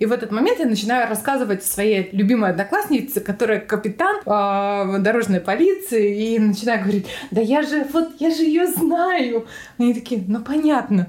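A plain, everyday voice moves at a moderate pace with lively intonation and very even loudness. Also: woman, fairly high pitch for a woman. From Altai Krai, Russia (Barnaul). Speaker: retail worker. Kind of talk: casual interview.

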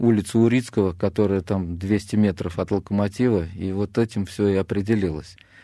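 A man speaks in a dark, mellow tone, the sound dry and close with no echo. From Russia, Samara (Kuibyshev). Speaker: retired footballer, club legend. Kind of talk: radio interview. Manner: hesitant, with filler sounds.

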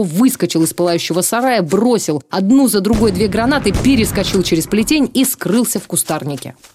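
A woman at a moderate pace with a dramatic tone. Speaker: TV presenter reading aloud. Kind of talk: reading aloud a 1944 war sketch, solemn narration of partisan combat and reprisals. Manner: measured, grave, formal; tense, dramatic, narrating with restrained emotion.

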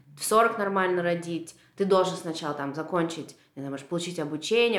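With audible room echo, a woman speaks at a fairly low pitch and ordinary pitch variation. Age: 30s. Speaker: painter. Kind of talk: casual chat. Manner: animated.

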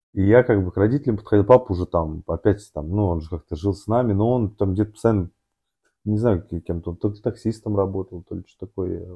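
A man's somewhat breathy, fairly low voice at a fairly quick pace, with big swings in loudness. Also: ordinary pitch variation. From Moscow region, Russia. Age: 30s. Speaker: amateur endurance athlete and businessman. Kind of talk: casual interview, life story. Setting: studio, sitting opposite host. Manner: halting, many fillers and restarts.

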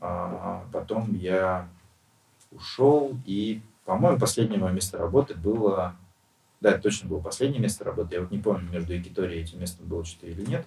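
A man's somewhat breathy, fairly low voice with a dark, mellow tone, ordinary pitch variation and big swings in loudness. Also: fairly quick pace. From Russia, Western Siberia (Nizhnevartovsk). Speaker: bar owner and restaurateur. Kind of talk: casual interview. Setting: podcast studio.

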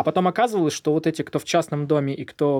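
In a very clean recording with a silent background, a man talks very fast with a fairly high pitch, a dark, mellow tone and ordinary pitch variation. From southern Russia, Volzhsky near Volgograd. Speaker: doctor, founder of a charity clinic. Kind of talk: interview. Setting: studio.

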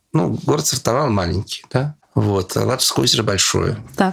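Speaking at a moderate pace, a man uses an ordinary speaking voice, fairly low in pitch, with lively intonation. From Russian Far East, Sakhalin. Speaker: journalist and lecturer, travel expert. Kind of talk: interview, casual travel storytelling.

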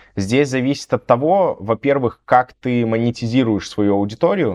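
A man's normal speaking voice at medium pitch, with lively intonation, a moderate pace, and a dry, close sound with no echo. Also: quiet background. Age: 30s. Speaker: blogger and content agency owner. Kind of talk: casual interview.

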